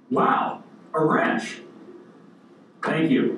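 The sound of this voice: A put-on character voice at a middle pitch, with a slight echo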